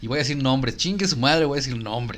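A man's medium-pitched voice with a Mexican accent and lively intonation. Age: young. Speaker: podcast co-host, recruiter. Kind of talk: casual chat. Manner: loud.

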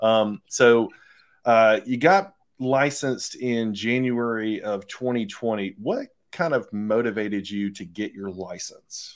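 An unremarkable speaking voice: a man of medium pitch with an American accent, fairly slow pace, ordinary pitch variation, very clean recording and silent background. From US South (Phenix City / Columbus, Georgia-Alabama area). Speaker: podcast host interviewing real estate agents. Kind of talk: interview. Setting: at home, vacuum and child in background.

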